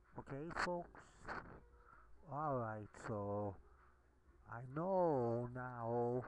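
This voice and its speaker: A soft-spoken man at a medium pitch talks very slowly, with ordinary pitch variation and long, frequent pauses. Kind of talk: casual talk to camera. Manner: quiet, soft-spoken.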